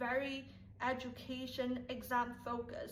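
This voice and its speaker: Speaking at a high pitch with a Chinese accent, a woman is heard over noticeable background noise and audible room echo. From Taiwan. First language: Mandarin Chinese. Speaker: YouTuber. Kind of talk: casual vlog talk to viewers.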